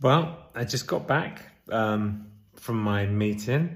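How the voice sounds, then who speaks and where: Speaking in an English accent, a man has a somewhat breathy voice at a fairly low pitch. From England. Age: 40s. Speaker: vlogger. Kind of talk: casual vlog.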